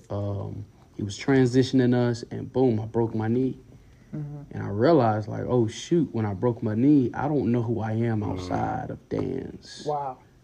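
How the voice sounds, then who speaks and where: An ordinary speaking voice with an American accent, fairly even intonation and a moderate pace. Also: man. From Durham, North Carolina. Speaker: pastor's kid and psychology student. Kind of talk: casual chat.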